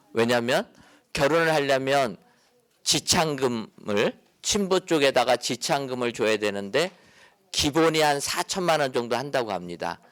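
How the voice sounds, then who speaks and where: The tone is calm and gentle, at a fairly slow pace. Intonation is lively. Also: man, medium pitch for a man. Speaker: pastor and lecturer. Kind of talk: lecture. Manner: calm, gentle.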